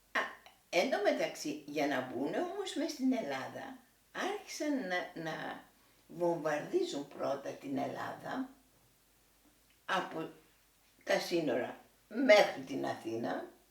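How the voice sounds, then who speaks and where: A woman at a very slow pace, long, frequent pauses, and audible room echo. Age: 80s+. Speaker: war witness. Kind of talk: oral history interview. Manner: halting.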